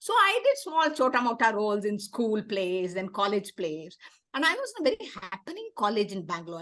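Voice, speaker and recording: The speaker talks in a Tamil Indian accent at a fairly quick pace. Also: woman. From South India, Tamil. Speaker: theater activist and founder. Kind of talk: interview.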